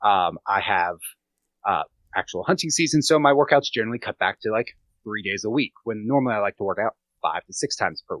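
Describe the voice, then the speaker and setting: A man with an American accent uses a normal speaking voice at medium pitch, his intonation lively and the sound dry and close with no echo. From Pennsylvania. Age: 30s. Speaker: fitness and nutrition coach. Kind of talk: casual interview chat.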